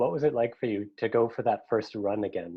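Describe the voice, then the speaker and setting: A man with a plain, everyday voice, medium pitch and a fairly quick pace. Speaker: cathedral director of music. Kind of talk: interview host.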